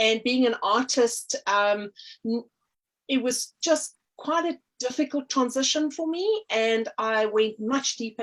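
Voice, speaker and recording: In a South African accent, a woman speaks at a fairly slow pace with lively intonation. The recording is very clean, with a silent background. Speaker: artist and energy healer. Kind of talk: interview. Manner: hesitant, many fillers.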